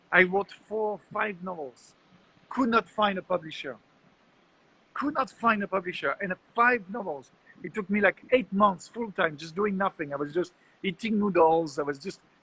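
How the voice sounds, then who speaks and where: Projecting a raised voice with a bright, sharp tone, a man with a French accent speaks at a moderate pace in a high pitch with ordinary pitch variation. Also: dry, close sound with no echo. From France. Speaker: entrepreneur and public speaker. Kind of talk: casual interview.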